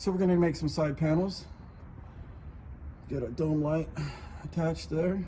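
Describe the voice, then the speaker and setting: A moderate speaking pace over noticeable background noise. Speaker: DIY car customizer. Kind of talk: casual tutorial. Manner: casual, filler-heavy; loud.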